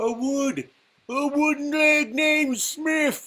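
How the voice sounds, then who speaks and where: A put-on character voice speaks at a high pitch. The pace is very slow. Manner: cackling, gleeful.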